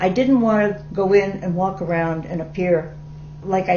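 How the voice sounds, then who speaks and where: Noticeable background noise and audible room echo around a woman's fairly low-pitched voice, fairly slow in pace, with ordinary pitch variation. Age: 70s. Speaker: documentary interviewee with emphysema. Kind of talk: testimony.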